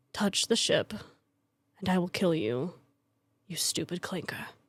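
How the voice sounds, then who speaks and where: In a put-on character voice, a female-sounding woman's voice moves at a moderate pace with medium pitch. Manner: threatening.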